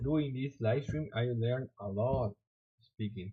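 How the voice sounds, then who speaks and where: With a Spanish accent, a man speaks at a medium pitch in a somewhat breathy voice with fairly even intonation. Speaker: software developer streamer. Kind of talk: live coding stream. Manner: halting.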